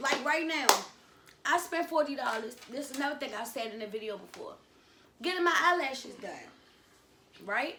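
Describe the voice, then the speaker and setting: Speaking at a fairly quick pace with an American accent, a woman with a high pitch projects a raised voice that swings widely in loudness, taking long, frequent pauses amid noticeable background noise and audible room echo. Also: lively intonation. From Washington, D.C., with time in North Carolina. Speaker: YouTuber. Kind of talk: casual chat. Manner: animated.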